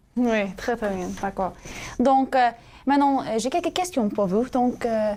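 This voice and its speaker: The speaker talks at a very slow pace with lively intonation in an American accent. Noticeable background noise runs under the voice. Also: woman, fairly high pitch for a woman. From US, California, Sacramento. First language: English (speaking French). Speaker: student co-host of religious show. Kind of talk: casual interview chat. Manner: halting, many hesitations.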